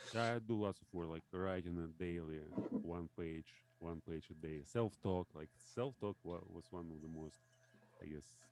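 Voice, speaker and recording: A man with a Russian accent talks at a moderate pace, his pitch very deep and low with ordinary variation. The sound is dry and close, with no echo. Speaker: language learner. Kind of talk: casual chat. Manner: halting.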